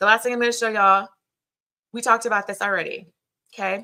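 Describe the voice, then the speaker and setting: Very fast and animated, a woman's voice has a bright, sharp tone. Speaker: business coach. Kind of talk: live webinar training.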